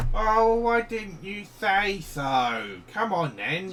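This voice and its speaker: A man puts on a character voice, pitched high and delivered very slowly. Background noise is clearly audible. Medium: actual play. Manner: simple broken speech.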